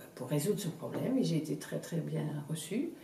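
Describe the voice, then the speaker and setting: A woman's fairly low-pitched voice at a moderate pace, with audible room echo and noticeable background noise. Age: 60s. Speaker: customer giving testimonial. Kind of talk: testimonial interview. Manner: halting, many repetitions and hesitations.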